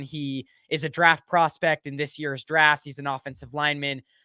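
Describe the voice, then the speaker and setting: Loud and bright with a sharp tone, a man speaks at a moderate pace on a very clean recording with a silent background and a dry, close sound with no echo. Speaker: sports podcast host. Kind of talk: livestream sports talk show. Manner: halting, many fillers. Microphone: good quality mic.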